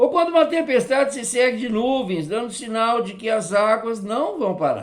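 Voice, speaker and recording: Moderate pace, with hardly any pauses. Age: 60s. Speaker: Sunday school teacher. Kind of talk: Sunday school lesson.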